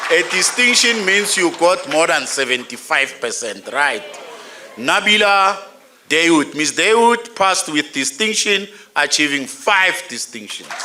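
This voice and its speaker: A man speaks in a high pitch with very wide pitch swings, his raised, projected voice moving at a fairly slow pace amid audible room echo and noticeable background noise. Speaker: graduation ceremony announcer. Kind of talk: reading names at graduation ceremony. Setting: graduation hall with audience.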